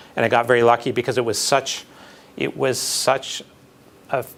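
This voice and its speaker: A man's medium-pitched voice with a slight Manitoban accent and fairly even intonation, over noticeable background noise. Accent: slight Canadian (Manitoban). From Canada, Winnipeg (Manitoba). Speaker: architecture professor, job candidate. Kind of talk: job interview Q&A. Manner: halting, many fillers and repeats.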